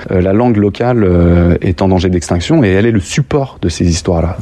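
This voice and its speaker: With noticeable noise in the background, a man talks using lively intonation. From France, Lyon. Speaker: street artist, muralist. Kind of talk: interview. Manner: halting, many hesitations.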